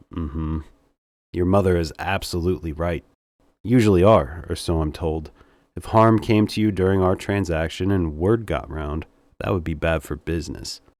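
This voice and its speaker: A man does a put-on character voice that is husky, raspy and very deep, at a moderate pace, in a very clean recording with a silent background. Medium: read story. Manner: smooth, seductive.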